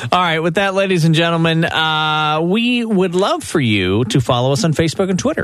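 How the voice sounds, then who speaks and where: Over noticeable background noise, a high-pitched man talks at a fairly quick pace with lively intonation, very even loudness and hardly any pauses. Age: 40s. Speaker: radio host. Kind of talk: casual chat.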